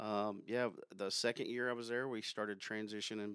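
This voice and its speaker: An unremarkable speaking voice, a man with an American accent talks at a moderate pace with fairly even intonation. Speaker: sales account manager. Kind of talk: casual interview chat.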